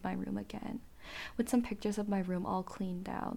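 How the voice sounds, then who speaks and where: Someone talks at a fairly quick pace with a Korean accent. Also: woman. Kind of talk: solo monologue podcast. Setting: home recording with podcast mic. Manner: laughs often.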